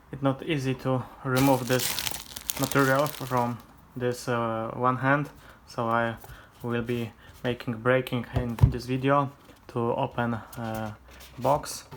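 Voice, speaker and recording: Amid noticeable background noise, the speaker talks at a very slow pace with long, frequent pauses, in a Polish accent. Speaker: vlogger. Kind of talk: unboxing tutorial. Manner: halting, many hesitations.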